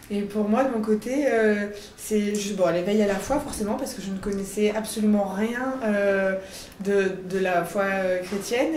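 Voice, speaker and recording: Amid noticeable background noise and audible room echo, a woman speaks at a fairly slow pace. Her pitch is medium, her intonation fairly even. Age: 30s. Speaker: catechumen preparing for baptism. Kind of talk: interview testimony. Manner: hesitant, many fillers.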